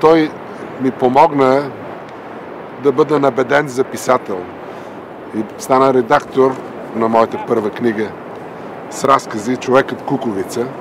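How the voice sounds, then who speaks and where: A man at medium pitch with ordinary pitch variation, a moderate pace, long, frequent pauses and noticeable background noise. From Bulgaria. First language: Bulgarian. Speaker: doctor and writer, dissident. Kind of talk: documentary narration. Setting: outdoors on a boardwalk by the ocean.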